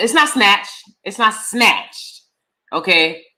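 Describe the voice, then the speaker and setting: The voice has a bright, sharp tone and very wide pitch swings. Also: woman. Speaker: youtuber reviewing reality TV. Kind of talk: live stream commentary. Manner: casual, chatty with filler words.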